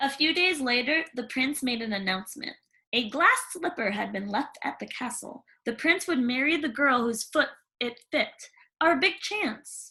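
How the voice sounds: A woman puts on a character voice, high-pitched with lively intonation. Her tone is bright and sharp with a slightly husky edge, at a moderate pace.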